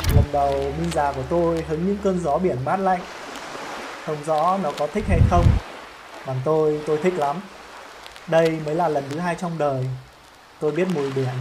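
A fairly high-pitched man speaks fairly slowly with fairly even intonation and long, frequent pauses. Audible room echo and noticeable background noise surround him. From northern Vietnam, Hanoi. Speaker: travel storyteller YouTuber. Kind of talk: scripted narration.

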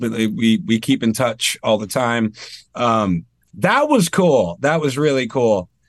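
In a quiet background, a man with an American accent speaks at a moderate pace, his medium pitch making very wide swings. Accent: slight Maine accent, mostly absent. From Maine, US. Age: 30s. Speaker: singer and tribute band frontman. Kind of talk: casual interview chat. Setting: studio.

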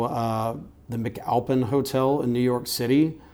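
With audible room echo, a man speaks at a medium pitch and a fairly slow pace, his intonation fairly even. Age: 40s. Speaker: photographer. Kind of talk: casual interview.

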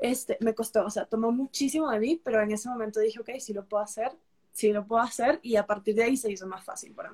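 This woman's voice is fairly high and somewhat breathy. She talks at a very fast pace with ordinary pitch variation. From Peru. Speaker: travel content creator. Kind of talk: casual interview.

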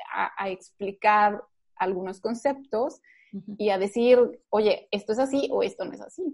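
A woman with an ordinary speaking voice talks at a fairly slow pace in a fairly high pitch. Her pitch varies in an ordinary way, while her loudness swings widely. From Mexico. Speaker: nutrition doctor, former lecturer. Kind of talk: interview.

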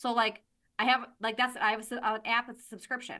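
A woman with an American accent speaks very fast in a raised, projected voice, her tone animated, bright and sharp. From Michigan. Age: 40s. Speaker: nurse anesthetist and aesthetics business owner. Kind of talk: casual interview.

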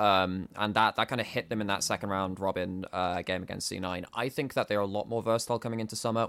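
The speech moves at a very fast pace with ordinary pitch variation. The recording is very clean, with a silent background. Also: man. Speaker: esports podcast co-host and analyst. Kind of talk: casual chat.

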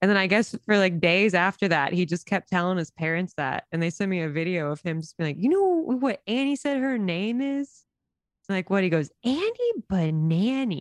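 A woman with an American accent, an ordinary speaking voice at a moderate pace, dry and close with no echo, against a quiet background. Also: medium pitch for a woman, lively intonation. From US South, small town. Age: 30s. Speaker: TikTok creator and dog walker. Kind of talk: casual chat. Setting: podcast.

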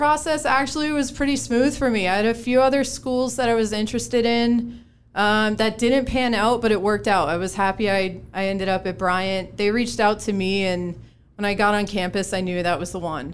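This woman has a normal speaking voice at a medium pitch. Her intonation is lively and her pace is moderate. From Connecticut. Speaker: former college softball player, company employee. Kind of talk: casual panel chat. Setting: studio.

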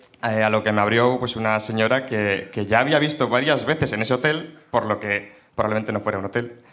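Talking at a fairly quick pace with hardly any pauses, a man uses a plain, everyday voice with ordinary pitch variation. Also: medium pitch for a man. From Burgos, Spain. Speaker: audience member telling a story. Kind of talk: storytelling to a live audience.

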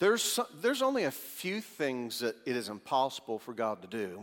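Using a normal speaking voice, a man with a medium pitch and lively intonation talks at a moderate pace with hardly any pauses. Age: 50s. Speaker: pastor. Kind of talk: sermon.

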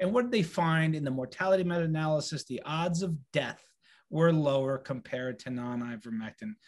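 At a fairly quick pace, an unremarkable speaking voice comes through against a quiet background. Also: man, fairly high pitch for a man, lively intonation. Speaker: physician. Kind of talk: medical update and interview.

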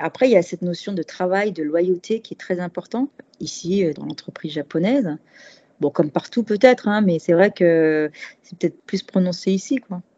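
Woman with a plain, everyday voice, at a moderate pace and with ordinary pitch variation. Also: medium pitch for a woman, big swings in loudness. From Paris, France. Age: 40s. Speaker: expat cooking workshop host. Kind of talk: interview conversation.

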